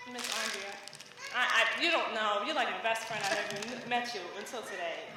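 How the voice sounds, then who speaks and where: A woman with a New York accent talks at a fairly high pitch and fairly quick pace, with ordinary pitch variation, audible room echo and noticeable background noise. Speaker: parent of a graduate. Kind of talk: graduation speech. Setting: graduation ceremony stage.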